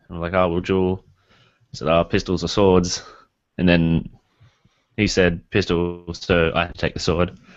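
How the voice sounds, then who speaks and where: Very deep and low, a man's voice speaks in an Australian accent at a moderate pace. His intonation is monotone and flat, with long, frequent pauses. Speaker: podcast co-host. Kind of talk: casual chat.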